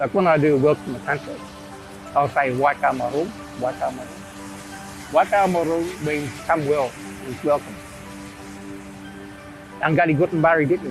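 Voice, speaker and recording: A man at fairly high pitch with lively intonation, a moderate pace and long, frequent pauses over music in the background. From Australia, Macleay Valley region, New South Wales. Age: 60s. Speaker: traditional owner, cultural preservationist. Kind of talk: interview answer. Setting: outdoors.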